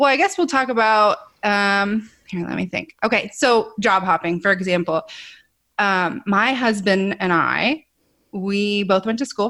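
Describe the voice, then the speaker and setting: Recorded very cleanly against a silent background, a woman with a Midwestern American accent speaks at a fairly slow pace in a bright, sharp tone. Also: medium pitch for a woman, ordinary pitch variation. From Ohio, US Midwest. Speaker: podcaster. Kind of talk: interview.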